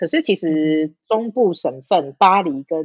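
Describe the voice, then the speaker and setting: In an unremarkable speaking voice, a woman talks at a fairly low pitch with lively intonation, the sound dry and close with no echo. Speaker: podcast guest. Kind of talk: casual chat.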